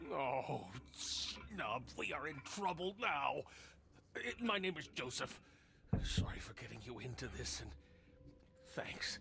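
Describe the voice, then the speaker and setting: Over clear background noise, a man puts on a raspy character voice at a fairly slow pace, with long, frequent pauses. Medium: video game. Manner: guarded, slightly theatrical.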